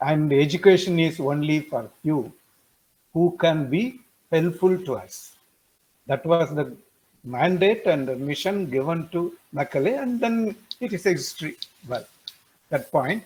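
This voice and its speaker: Speaking with a Tamil accent, a man uses a high pitch and lively intonation at a fairly slow pace, leaving long, frequent pauses. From India, Tamil Nadu. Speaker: webinar participant. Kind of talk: webinar discussion comment. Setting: online webinar. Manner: hesitant, with fillers.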